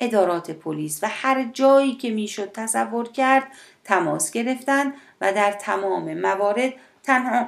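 This is a natural reading voice. Its intonation is lively.

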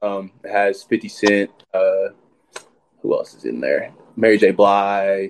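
A man with a Texan accent at a very slow pace, with long, frequent pauses. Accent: Texan American. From Texas (Sherman, north Texas). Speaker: college football player. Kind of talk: casual interview.

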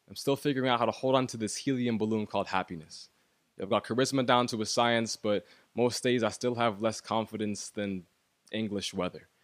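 A man with a normal speaking voice, medium in pitch, fairly even in intonation and fairly quick in pace, in a very clean recording with a silent background. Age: 20s. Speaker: poet. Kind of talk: spoken word poetry.

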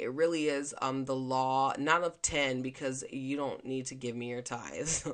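The speaker is loud and talks at a moderate pace over a quiet background. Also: woman. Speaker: podcast host and mindset coach. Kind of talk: casual monologue.

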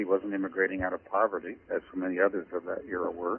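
Fairly low in pitch, a man speaks with an American accent at a fairly quick pace. It is an ordinary speaking voice. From Kansas, Great Plains. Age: 60s. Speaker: historian, author. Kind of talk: interview.

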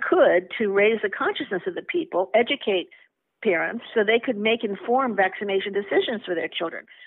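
A woman with an American accent speaks in an unremarkable speaking voice. Her pitch is medium and her pace moderate. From United States. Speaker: vaccine safety advocate. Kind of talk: interview.

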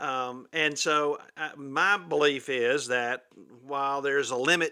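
The voice has a bright, sharp tone. The recording is very clean, with a silent background. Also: man. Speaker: keynote speaker and author on customer service. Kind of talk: interview.

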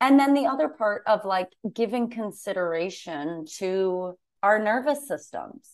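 A woman with an American accent and a normal speaking voice talks at medium pitch and a fairly slow pace, her intonation lively over a quiet background. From Massachusetts. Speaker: comedian and podcast co-host. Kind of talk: casual chat.

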